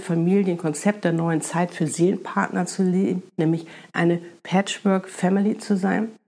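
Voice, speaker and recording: This woman's voice sits at a medium pitch with a dark, mellow tone. Her pace is fairly slow. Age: 50s. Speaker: spiritual podcast host. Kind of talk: monologue, spiritual advice podcast. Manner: animated.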